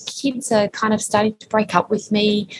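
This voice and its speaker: At a moderate pace, the speaker talks with an Australian accent. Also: woman. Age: 50s. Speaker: time management expert and author. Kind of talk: interview. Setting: remote call from co-working space.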